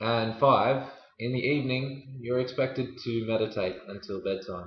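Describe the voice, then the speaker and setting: A somewhat breathy man's voice at medium pitch with an Australian accent and ordinary pitch variation. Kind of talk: storytelling for language learners.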